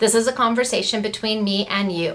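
The speaker is a woman. She keeps a moderate pace. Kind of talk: casual vlog chat. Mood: chatty, slightly serious. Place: office. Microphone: webcam.

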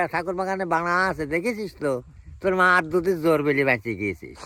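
A man with a high pitch and ordinary pitch variation uses a raised, projected voice with a bright, sharp tone. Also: very clean recording, silent background. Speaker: elderly villager. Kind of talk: storytelling interview.

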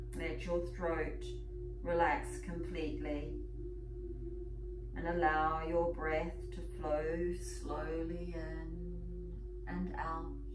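At a very slow pace, a woman speaks through noticeable background noise. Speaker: yoga and meditation teacher. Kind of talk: guided meditation. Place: home room. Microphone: camera far.

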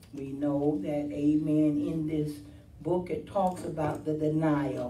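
Over light background noise and audible room echo, a woman with a very deep, low pitch talks at a very slow pace with fairly even intonation. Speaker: preacher. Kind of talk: sermon. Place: church. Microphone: camera far.

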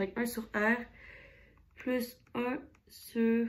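This is a woman speaking. Her pitch sits fairly high. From Quebec. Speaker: physics tutor. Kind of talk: tutorial. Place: home room.

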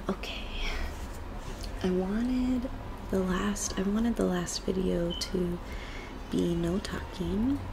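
Noticeable background noise runs under speech delivered at a very slow pace with long, frequent pauses. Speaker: ASMR creator. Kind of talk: ASMR soft-spoken rambling. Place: home room. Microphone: webcam.

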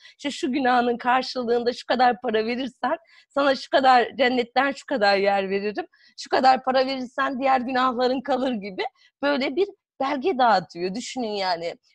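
A woman with a high voice speaks at a moderate pace with lively intonation, the sound dry with no echo and the background quiet. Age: 40s. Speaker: psychotherapist and author; guest. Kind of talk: interview. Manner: hesitant, many fillers. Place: home room. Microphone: video call.

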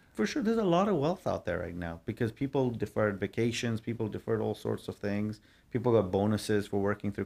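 This man has an unremarkable speaking voice, fairly low in pitch, and talks at a fairly quick pace. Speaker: guest. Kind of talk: interview answer. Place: office. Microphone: studio mic.

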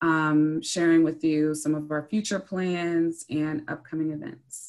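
A woman with an ordinary speaking voice and fairly low pitch talks at a fairly slow pace against a quiet background. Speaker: museum director. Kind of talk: presentation. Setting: video call. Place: home room. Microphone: video call.

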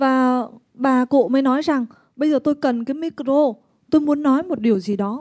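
Against a quiet background, a woman talks at a moderate pace with a high pitch and ordinary pitch variation. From Vietnam. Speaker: interpreter; presenter. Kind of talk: consecutive interpreting at a seminar. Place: hall. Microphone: handheld.

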